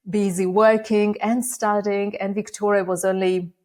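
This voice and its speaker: A woman with a Russian accent at medium pitch and moderate pace, in a very clean recording with a silent background. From Uzbekistan (Bukhara). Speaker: AI education nonprofit founder. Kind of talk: interview.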